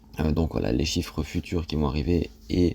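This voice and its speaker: With a dark, mellow tone and vocal fry, a man talks at a moderate pace. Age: 20s. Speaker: personal finance youtuber. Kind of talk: casual explainer monologue. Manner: hesitant, many fillers.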